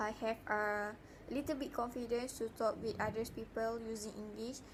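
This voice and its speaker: A woman speaks with a Malaysian accent. Her pitch sits fairly high, and her intonation stays fairly even. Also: moderate pace. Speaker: university student. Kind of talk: spoken self-reflection assignment. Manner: halting, many fillers.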